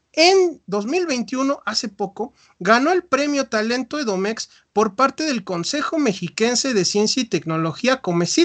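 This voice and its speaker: Very wide pitch swings against a quiet background. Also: man, dry, close sound with no echo. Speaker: podcast host, psychologist. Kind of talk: live videopodcast interview. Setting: live stream.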